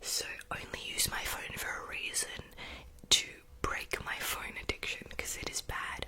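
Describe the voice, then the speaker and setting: The woman's fairly slow speech comes as a whisper. Behind her, background noise is noticeable. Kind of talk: casual ramble to camera about new year resolutions. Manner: whispered, soft-spoken.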